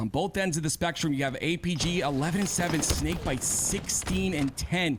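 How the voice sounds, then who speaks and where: A man's fairly high-pitched voice with music in the background. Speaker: esports caster. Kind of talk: live commentary.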